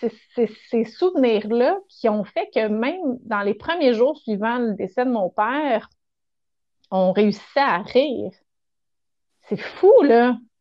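In a Quebec accent, a woman speaks very slowly with long, frequent pauses. Her pitch is fairly high and her intonation is lively. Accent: Québécois French. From Quebec, Montérégie. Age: 40s. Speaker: children's author. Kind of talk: casual interview chat.

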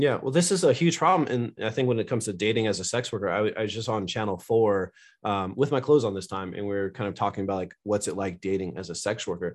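A man with an American accent talks at a very fast pace with hardly any pauses, his pitch fairly low and its variation ordinary. The background is quiet. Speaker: charity director and sex worker. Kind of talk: casual interview chat.

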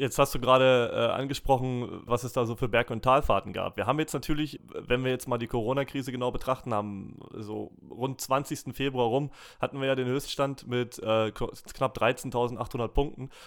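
A man at medium pitch speaks at a moderate pace in a monotone, flat delivery, hardly pausing at all. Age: 30s. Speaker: podcast host. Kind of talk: interview.

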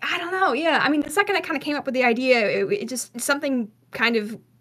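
A woman talks at a fairly quick pace in a high pitch with lively intonation over noticeable background noise. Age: 20s. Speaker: podcast co-host. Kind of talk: casual chat.

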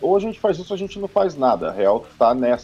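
This man's high-pitched voice moves in very wide pitch swings. He talks at a fairly quick pace. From São Paulo, Brazil. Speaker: metal band musician. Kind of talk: casual chat. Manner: animated.

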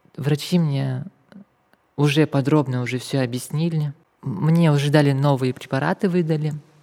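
A woman's very deep, low voice at a moderate pace, with fairly even intonation and long, frequent pauses. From Kazakhstan. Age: 20s. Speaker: activist sharing life story. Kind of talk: testimony.

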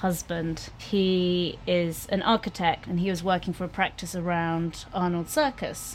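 Fairly even intonation in a London accent. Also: woman. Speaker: chef and restaurant co-owner. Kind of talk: casual chat. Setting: outdoor canal-side kiosk.

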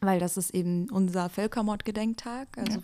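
Her voice has a dark, mellow tone at medium pitch, moving at a moderate pace with fairly even intonation. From Germany, Wiesbaden. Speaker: youth association chair. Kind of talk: podcast interview.

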